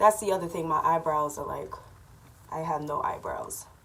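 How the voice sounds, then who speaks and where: Noticeable background noise runs behind a woman talking at a moderate speed. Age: 30s. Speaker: vlogger. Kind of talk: casual chat. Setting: at home. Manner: casual, with fillers.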